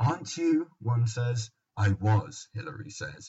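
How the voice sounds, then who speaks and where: A man speaks in a London accent with a somewhat breathy voice. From London, England. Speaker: podcast host. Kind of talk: casual banter podcast.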